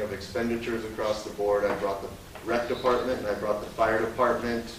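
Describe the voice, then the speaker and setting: A man talks fairly quickly, with audible room echo and noticeable background noise around him. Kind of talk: budget presentation at a public meeting. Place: meeting room. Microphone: camera far.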